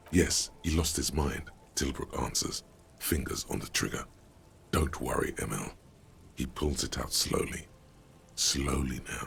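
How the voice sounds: Using a put-on character voice, a man speaks at an extremely low pitch with vocal fry, a fairly bright tone, ordinary pitch variation, a fairly slow pace and long, frequent pauses.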